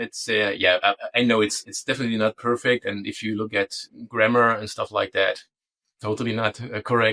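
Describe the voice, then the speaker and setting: With a German accent, a man speaks in a bright, sharp tone, the sound dry and close with no echo. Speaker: DNS security consultant. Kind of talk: interview. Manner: halting.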